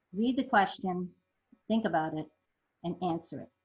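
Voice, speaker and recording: The somewhat breathy voice moves at a moderate pace with lively intonation. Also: woman. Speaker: zoo conservation fund manager presenting. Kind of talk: webinar presentation.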